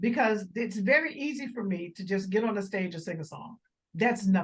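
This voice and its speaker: At a fairly quick pace, a woman speaks with lively intonation and an animated tone, her fairly high voice somewhat breathy. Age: 60s. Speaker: jazz vocalist and arts organizer. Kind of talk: casual interview.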